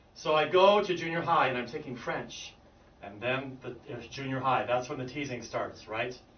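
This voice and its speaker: A man's fairly high voice with an American accent, moderate pace, ordinary pitch variation, audible room echo and noticeable background noise. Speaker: English pronunciation teacher. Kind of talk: group lesson storytelling. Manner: talkative, verbal.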